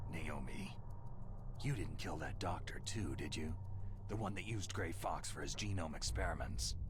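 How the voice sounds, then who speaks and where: A man performs a put-on character voice at a moderate pace. Loud background noise runs underneath. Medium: game stream. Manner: terse, gruff.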